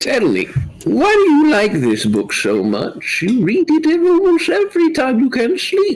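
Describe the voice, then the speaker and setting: A man puts on a character voice with an extremely high pitch. He speaks at a moderate pace. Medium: actual play. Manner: kindly, wise.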